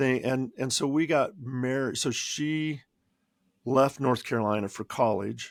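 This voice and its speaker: A man with a Midwestern American accent speaks at a medium pitch and a fairly slow pace, with ordinary pitch variation. The recording is very clean with a silent background. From Kansas. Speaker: podcast co-host. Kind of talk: casual chat.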